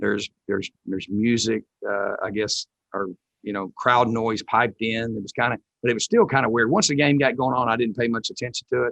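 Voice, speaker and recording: With a dry, close sound and no echo, a man speaks fairly quickly at a medium pitch and with fairly even intonation. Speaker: college football head coach. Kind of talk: press conference. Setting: press conference. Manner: loud; halting, many fillers.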